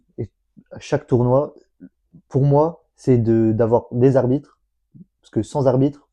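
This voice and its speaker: A man speaks at a very slow pace in a dark, mellow tone. His intonation stays fairly even, broken by long, frequent pauses. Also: medium pitch for a man, big swings in loudness. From northern France, Lille. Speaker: sports association founder. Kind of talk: casual interview. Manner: stammering.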